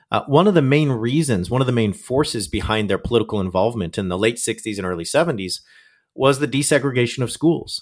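A man with an American accent uses a normal speaking voice, a medium pitch and lively intonation on a very clean recording with a silent background. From Southern California, Orange County. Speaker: scholar and author, former evangelical. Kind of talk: interview.

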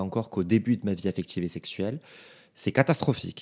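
A man in a normal speaking voice talks at a fairly quick pace with ordinary pitch variation, recorded very cleanly against a silent background with a dry, close sound and no echo. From France (provinces). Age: 20s. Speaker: podcaster. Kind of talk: solo podcast monologue. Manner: casual, informal.

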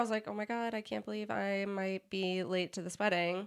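An ordinary speaking voice from a woman, medium in pitch. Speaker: podcast co-host. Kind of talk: casual chat.

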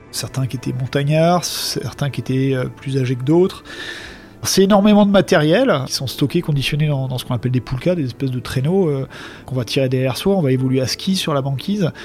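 Over noticeable background noise, a man with a fairly high pitch talks at a fairly quick pace with ordinary pitch variation. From France, Alps. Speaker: diver and explorer. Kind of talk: storytelling interview.

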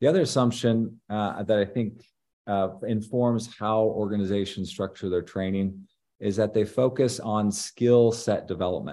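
A man talks at a moderate pace over a quiet background. His voice is fairly low in pitch with a dark, mellow tone. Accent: American. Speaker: leadership professor. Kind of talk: interview. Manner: frequent fillers and repetitions.

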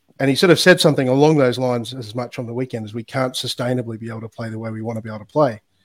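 A man with an Australian accent races along at a very fast pace with hardly any pauses and ordinary pitch variation. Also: medium pitch for a man, big swings in loudness. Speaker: former rugby player and sports analytics founder. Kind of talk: casual interview chat.

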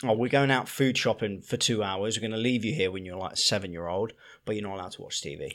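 A man speaks at a very fast pace with a fairly low pitch and ordinary pitch variation. His loudness swings widely in a very clean recording with a silent background. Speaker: podcast co-host, dad. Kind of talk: casual chat.

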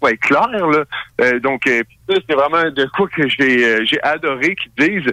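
A man in a Quebec accent, fairly high-pitched with a bright, sharp tone, fairly slow with lively intonation, in a dry, close sound with no echo. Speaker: radio show host, guest. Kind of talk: casual chat. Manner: halting.

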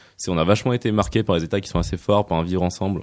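At a very fast pace, a man speaks in a very deep, low pitch with ordinary pitch variation. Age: 20s. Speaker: venture capital investor. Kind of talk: radio interview.

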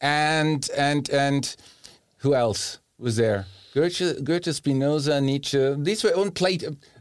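A man with a German accent speaks at a very slow pace and very even loudness. His voice is fairly high, with ordinary pitch variation. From Germany. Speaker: philosophy professor. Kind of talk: interview. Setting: studio.

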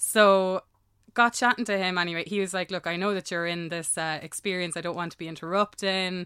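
In a very clean recording with a silent background, a woman with an Irish accent speaks at a fairly quick pace in a medium pitch, her tone bright and sharp and her intonation fairly even. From Ireland. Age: 30s. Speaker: singer-songwriter. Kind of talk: casual chat.

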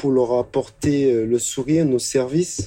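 Speaking at a fairly slow pace, a man with a medium pitch and a dark, mellow tone keeps his intonation fairly even. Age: 30s. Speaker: convenience store manager. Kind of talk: interview testimony. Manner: hesitant with fillers.

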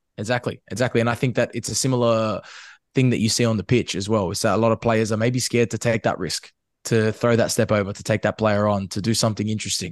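Over a quiet background, a medium-pitched man with an Australian accent talks very fast in a flat monotone, the sound dry and close with no echo. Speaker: football media host. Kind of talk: casual chat.

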